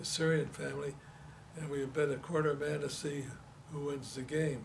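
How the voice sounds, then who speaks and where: A man speaks with a Detroit accent. His fairly high voice stays monotone and flat. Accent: Detroit American English. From Detroit, Michigan, USA. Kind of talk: oral history interview answer. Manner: hesitant, repeats words.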